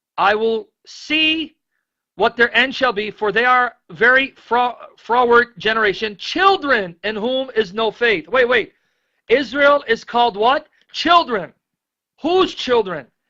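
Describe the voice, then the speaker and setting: This man uses a raised, projected voice at an extremely high pitch, with an animated tone, lively intonation and a bright, sharp tone, all at a fairly slow pace. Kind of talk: bible teaching. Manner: loud.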